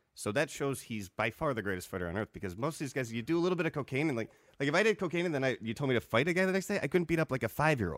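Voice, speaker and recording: On a dry, close recording with no echo, a man talks very fast in a fairly high voice with vocal fry and very wide pitch swings. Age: 30s. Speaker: stand-up comedian and producer. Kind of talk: casual chat over beers. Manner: joking, bantering.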